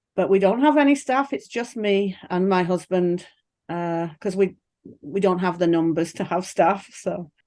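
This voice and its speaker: Over a quiet background, a woman with an English accent speaks at a medium pitch and fairly slow pace, her dark, mellow tone carried by lively intonation. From England. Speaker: pig farmer. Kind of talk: interview. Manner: chatty.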